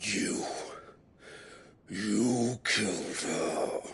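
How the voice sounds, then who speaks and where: Doing a put-on character voice, a man growls his words at a medium pitch. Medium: video game. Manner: haughty, theatrical.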